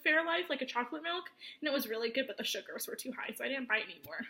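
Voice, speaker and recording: In an American accent, a woman raises and projects her voice. Her pitch is high and her intonation lively. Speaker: vlogger preparing for weight-loss surgery. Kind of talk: casual show-and-tell vlog.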